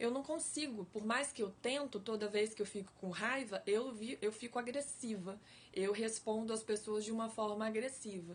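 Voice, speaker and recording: A woman talks with hardly any pauses. Her pitch varies in an ordinary way. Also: fairly high pitch for a woman. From Brazil, Espírito Santo. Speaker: life coach / online educator. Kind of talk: live-stream talk to viewers. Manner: slow, deliberate; engaging, conversational.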